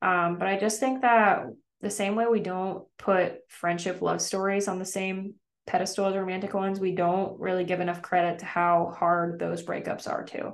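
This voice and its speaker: Monotone, flat intonation marks the woman's medium-pitched speech. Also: moderate pace. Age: 30s. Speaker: podcast host and aspiring comedian. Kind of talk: solo monologue, casual reflection. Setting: apartment complex business center cubicle. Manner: casual, filler-heavy (um, like).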